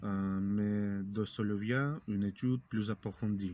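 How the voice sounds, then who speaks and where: Very slowly, a man speaks in a Russian accent with a dark, mellow tone and fairly even intonation, on a very clean recording with a silent background. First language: Russian (speaking French). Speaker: language learning youtuber. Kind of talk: tutorial. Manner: halting, many hesitations.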